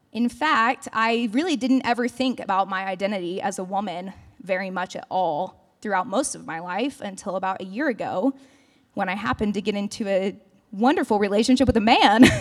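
A woman has a plain, everyday voice at medium pitch with ordinary pitch variation. Her loudness swings widely on a very clean recording with a silent background. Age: 20s. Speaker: campus ministry speaker. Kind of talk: sermon. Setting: church service.

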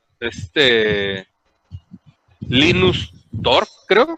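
A man with a Mexican accent, in a dry, close sound with no echo. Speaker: podcast co-host. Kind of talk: casual chat.

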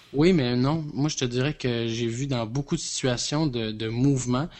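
A man talks in a Quebec accent. His pace is fairly slow and his intonation fairly even. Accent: Québécois French. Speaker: podcast co-host. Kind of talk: casual chat. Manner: halting.

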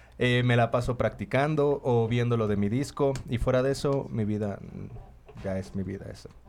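There is noticeable background noise behind a man's voice. He talks at a moderate pace with ordinary pitch variation. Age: 30s. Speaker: freestyle rapper. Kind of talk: casual chat.

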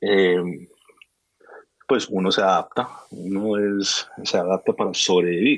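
Long pauses come frequently, and the pace is very slow. The intonation stays fairly even. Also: man, fairly low pitch for a man. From raised between Colombia and Miami, US. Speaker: sneaker collector and content creator. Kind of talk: casual interview chat. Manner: halting with repeated words.

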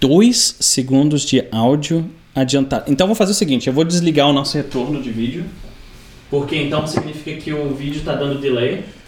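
A man's fairly high voice at a fairly quick pace, ordinary pitch variation, and noticeable background noise. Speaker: podcast host. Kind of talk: casual chat.

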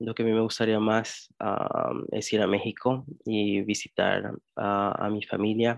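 A man in an English accent delivers his words fairly slowly. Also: hardly any pauses. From US Midwest, Indianapolis. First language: English (speaking Spanish). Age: 20s. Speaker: DACA recipient, political science graduate. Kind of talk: interview. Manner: halting, many fillers.

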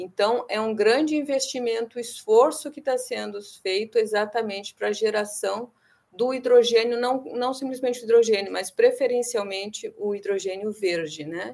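A woman with a normal speaking voice, fairly high pitch, ordinary pitch variation, moderate pace and big swings in loudness. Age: 50s. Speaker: researcher. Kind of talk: interview.

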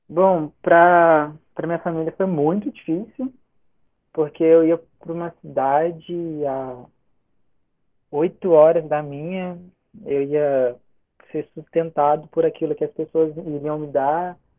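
Here a man speaks at a fairly high pitch and a very slow pace. Long, frequent pauses break up his speech. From Brazil, interior of Rio de Janeiro state. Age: 20s. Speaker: missionary, former student. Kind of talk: casual interview, personal testimony.

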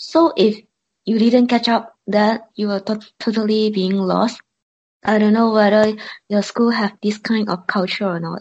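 A woman talks fairly slowly at a fairly high pitch. Her voice is somewhat breathy and her intonation fairly even. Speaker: university student. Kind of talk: casual chat.

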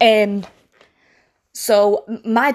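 Fairly high in pitch, a woman talks with a British accent. The recording is very clean with a silent background. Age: 20s. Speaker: podcast host. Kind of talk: casual monologue.

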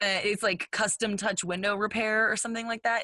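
A woman's bright, sharp voice with an American accent, dry and close with no echo, over a quiet background. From Texas. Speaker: podcast co-host. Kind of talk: casual chat.

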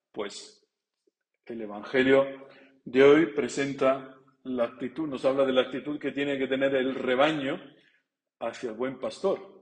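Pausing long and often, a man of medium pitch talks at a fairly slow pace with fairly even intonation. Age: 40s. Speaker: priest. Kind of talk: sermon. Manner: halting.

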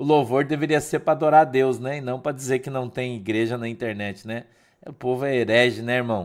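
A man at a medium pitch and fairly quick pace, ordinary pitch variation, big swings in loudness, and a very clean recording with a silent background. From Curitiba, southern Brazil. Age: 50s. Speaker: pastor. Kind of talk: casual devotional livestream talk. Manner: halting, repeats words.

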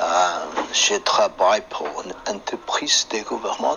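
Noticeable background noise fills the recording. Over it, a man talks at a very slow pace. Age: 50s. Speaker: chef, French learner. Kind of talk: interview in learner French. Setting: phone app call. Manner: halting.

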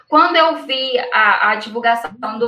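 Music plays in the background as a woman speaks. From Brazil, Minas Gerais. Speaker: perinatal psychologist. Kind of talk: interview on live stream.

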